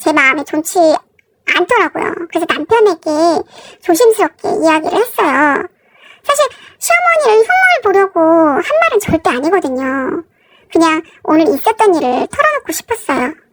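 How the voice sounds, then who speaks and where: At a moderate pace broken by long, frequent pauses, a woman speaks at an extremely high pitch with lively intonation, the sound dry and close with no echo and music in the background. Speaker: married woman telling her story. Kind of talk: first-person story reading.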